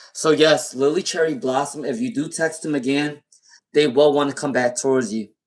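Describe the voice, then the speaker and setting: This man has an American accent and a fairly high pitch. He speaks at a fairly quick pace with lively intonation. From US Northeast, Rhode Island. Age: 30s. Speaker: tarot reader. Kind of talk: live-stream tarot reading. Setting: live stream. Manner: blunt, direct.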